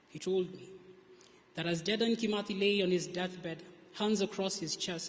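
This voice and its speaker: A soft-spoken man with a high voice and fairly even intonation. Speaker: spoken word poet. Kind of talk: spoken word poetry performance.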